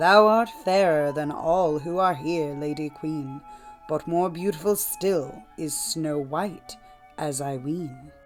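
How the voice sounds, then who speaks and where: A put-on character voice at a middle pitch and fairly slow pace, with clear music in the background. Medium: read story. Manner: solemn, archaic.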